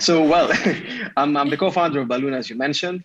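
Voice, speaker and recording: Speaking very fast with a Greek accent, a man uses a medium pitch and ordinary pitch variation. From Greece. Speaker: tech startup founder. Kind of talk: podcast interview.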